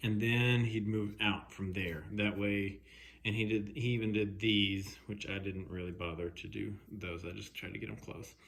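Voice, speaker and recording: The voice belongs to a man, talking at a moderate speed. Echo from the room is audible. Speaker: woodworking hobbyist. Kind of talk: casual video commentary. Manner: halting, many fillers.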